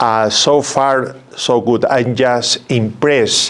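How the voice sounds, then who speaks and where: Over noticeable background noise, a man speaks at a medium pitch with fairly even intonation. He has a strong South American accent. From Peru. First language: Spanish. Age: 70s. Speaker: religious brother. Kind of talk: interview. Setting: studio. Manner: halting, repeats words.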